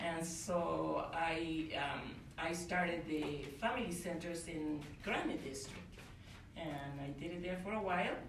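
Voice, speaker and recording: A woman with a Spanish accent speaks at a fairly slow pace, her pitch fairly low with ordinary variation. Noticeable background noise and audible room echo are present. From Uruguay. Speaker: family literacy specialist. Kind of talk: panel introduction.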